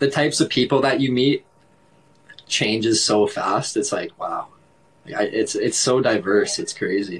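A man with a southern Ontario accent, with long, frequent pauses. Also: fairly slow pace. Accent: Canadian (southern Ontario). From Canada. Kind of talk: casual chat. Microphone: video call.

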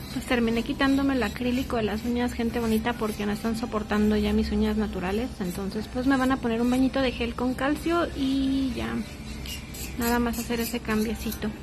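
Faint music plays in the background as a woman speaks at a fairly quick pace with fairly even intonation. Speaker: vlogger. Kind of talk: casual vlog chat.

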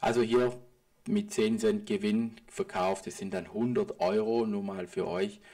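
Speaking at a very slow pace, a man with a medium pitch and a dark, mellow tone makes very wide pitch swings. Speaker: private trader and market analysis video host. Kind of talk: market analysis commentary over charts. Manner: casual, with filler sounds.

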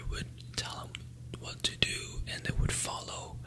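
Whispering very slowly, a man speaks over noticeable background noise. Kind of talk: ASMR whispered review. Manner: whispered.

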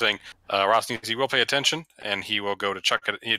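Pitch varies in an ordinary way as the voice reads aloud, unforced.

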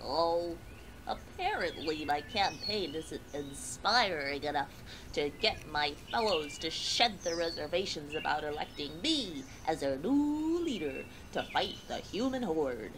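A female-sounding voice puts on a character with a very deep, low pitch. She speaks at a fairly slow pace over loud background noise. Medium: short film. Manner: glum, then cheerfully gluttonous.

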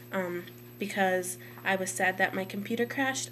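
Loud and with very wide pitch swings, a woman speaks over light background noise. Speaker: college student. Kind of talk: casual talk to camera. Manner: somewhat louder, hesitant with many ums. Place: home room. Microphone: webcam.

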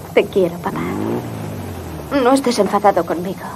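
Noticeable background noise sits behind a woman talking at a moderate pace, her medium pitch varying in an ordinary way. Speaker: voice actor. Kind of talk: film dubbing. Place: booth. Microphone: studio mic.

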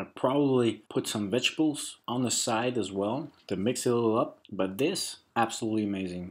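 This man's voice sits fairly low, with ordinary pitch variation and a slightly husky edge.

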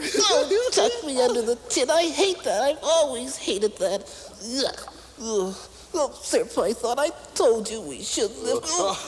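A high-pitched, cartoonish character voice at a fairly slow pace, with clear background noise. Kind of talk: children's puppet show. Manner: whiny, fawning.

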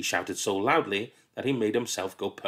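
The speaker uses a natural reading voice, pitch shifting in a normal way.

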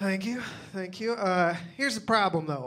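A fairly quick delivery with a Southern US accent. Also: man. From Louisiana, US. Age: 30s. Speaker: stand-up comedian. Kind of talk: stand-up comedy set. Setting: comedy club stage with audience. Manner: animated; casual, crowd-bantering. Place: stage. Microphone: handheld.

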